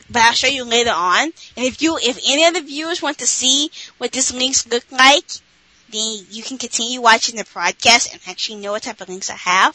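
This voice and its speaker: Lively intonation and big swings in loudness come at a fairly quick pace over noticeable background noise. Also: woman, high pitch for a woman. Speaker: podcast co-host. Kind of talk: casual chat.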